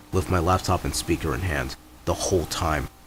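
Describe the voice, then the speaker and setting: Noticeable background noise runs under this man's voice. His pitch is very deep and low, and his pace is moderate. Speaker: student, music producer. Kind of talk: personal rant.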